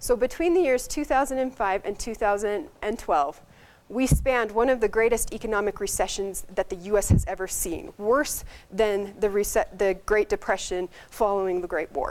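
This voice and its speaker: Lively intonation in a woman's medium-pitched voice. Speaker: medical resident presenting research. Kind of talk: conference presentation. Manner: fast.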